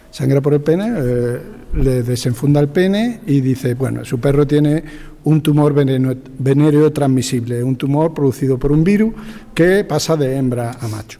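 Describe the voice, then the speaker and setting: Noticeable background noise sits behind a man whose fairly high voice moves at a moderate pace with ordinary pitch variation. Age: 60s. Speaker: veterinarian. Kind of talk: anecdote in panel discussion.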